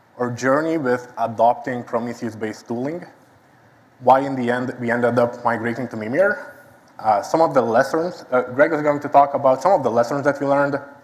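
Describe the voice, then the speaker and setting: A man talks at a fairly quick pace with a medium pitch and ordinary pitch variation. Noticeable background noise sits behind him. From Lithuania. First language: Lithuanian. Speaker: site reliability engineer. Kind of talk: conference talk. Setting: stage with audience.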